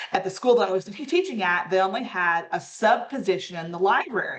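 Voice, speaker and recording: Amid noticeable background noise, a woman speaks fairly quickly at a medium pitch. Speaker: school librarian. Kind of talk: casual chat. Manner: loud.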